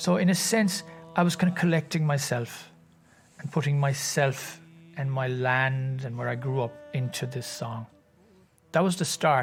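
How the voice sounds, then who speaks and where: A man's medium-pitched voice with ordinary pitch variation, music playing in the background. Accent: Irish. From Ireland, County Cork. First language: Irish. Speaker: singer and composer. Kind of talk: interview answer.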